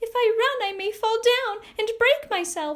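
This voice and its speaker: A woman uses a put-on character voice, squeaky and extremely high-pitched. She speaks at a moderate pace. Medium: read story.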